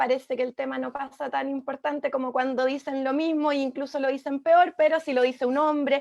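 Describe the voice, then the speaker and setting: A woman speaks at a very fast pace in a high, shrill voice with fairly even intonation. The sound is dry and close, with no echo. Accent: Chilean. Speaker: economist and mayoral candidate. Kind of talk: panel discussion. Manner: hesitant, many fillers.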